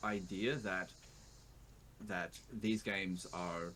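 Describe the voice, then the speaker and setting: With an Australian accent, a man speaks at a very slow pace. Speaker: YouTuber, video game player. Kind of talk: interview. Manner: animated.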